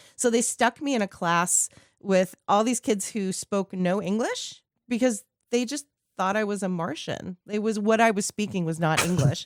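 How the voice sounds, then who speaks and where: Her pitch sits in the medium range, with ordinary variation, and she speaks at a moderate pace in an unremarkable speaking voice. The sound is dry and close, with no echo. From Southern California, born in Queens. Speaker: radio host and voiceover artist. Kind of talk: casual chat.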